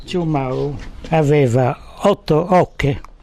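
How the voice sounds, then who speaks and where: A man's fairly high-pitched voice with a dark, mellow tone and ordinary pitch variation. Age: 80s+. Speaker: fisherman. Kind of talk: interview answer.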